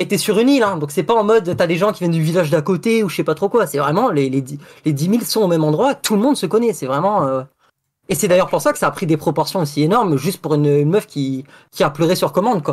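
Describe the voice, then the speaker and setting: A man's high voice at a very fast pace, with lively intonation. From Saint-Pierre and Miquelon. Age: young. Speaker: caller telling a story. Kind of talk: storytelling. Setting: online voice call.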